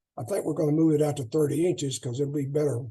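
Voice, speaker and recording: A man speaks with a dark, mellow tone, somewhat breathy and fairly high in pitch. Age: 80s+. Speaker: track and field coach. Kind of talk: clinic talk. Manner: halting.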